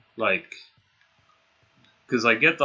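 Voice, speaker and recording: A man is speaking. He has an Australian accent. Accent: city Australian, sometimes taken for British. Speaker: gaming streamer. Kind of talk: live gameplay stream chat. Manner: casual, hesitant with many fillers.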